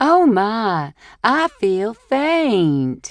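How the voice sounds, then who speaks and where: A female-sounding put-on character voice comes in a Southern US accent. The pitch swings very widely. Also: fairly high pitch for a woman. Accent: fake Southern. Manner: overly dramatic, feigning faintness.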